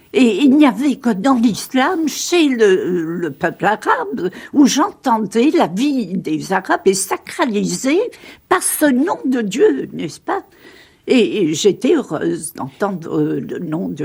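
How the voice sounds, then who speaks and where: Very slowly, a woman with a fairly high voice and vocal fry speaks, her pitch swinging very widely. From Sicily. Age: 70s. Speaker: religious convert and author. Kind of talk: radio interview. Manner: halting.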